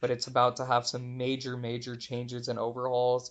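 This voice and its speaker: A man's medium-pitched voice with an American accent, against a quiet background. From Texas, Houston. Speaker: marketing consultant and author. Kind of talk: interview.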